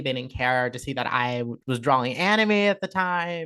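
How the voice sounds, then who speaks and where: A woman speaks at a moderate pace with a Southern Californian accent. Her intonation is lively. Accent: Orange County Valley Girl. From Southern California, Orange County. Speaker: content creator and artist. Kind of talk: casual interview chat. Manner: soft-spoken; animated, many fillers.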